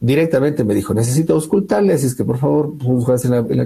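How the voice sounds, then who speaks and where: A man talks at a fairly quick pace in a medium pitch, his dark, mellow tone somewhat breathy and his intonation lively. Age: 40s. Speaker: academic researcher. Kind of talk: interview testimony.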